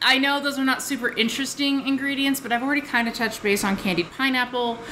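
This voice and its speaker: Over noticeable background noise, a woman with a high pitch speaks in a raised, projected voice at a very fast pace, her intonation fairly even. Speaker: tea review vlogger. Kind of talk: casual vlog tea review. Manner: casual, with frequent filler words.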